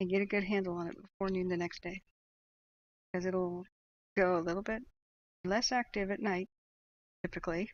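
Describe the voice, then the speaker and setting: This soft-spoken woman has a medium pitch and a soothing tone. Her intonation stays fairly even. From northern California. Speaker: live wildfire tracking streamer. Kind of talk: live commentary. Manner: soft, soothing.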